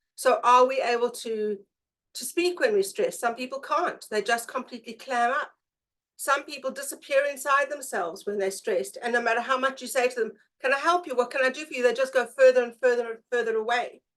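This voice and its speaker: Speaking at a fairly quick pace, a woman with a South African accent uses a high pitch and ordinary pitch variation. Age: 50s. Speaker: presenter, brain profiling practitioner. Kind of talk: presentation.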